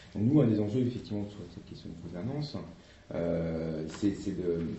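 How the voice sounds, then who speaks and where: A man's voice with audible room echo. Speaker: association representative. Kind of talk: workshop presentation with discussion. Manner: fast; hesitant, many fillers.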